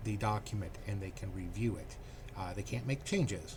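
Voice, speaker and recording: Soft-spoken, a man talks at a moderate pace with a medium pitch and ordinary pitch variation. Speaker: computer tech channel host. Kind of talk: casual screen-share tutorial. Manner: hesitant, many fillers.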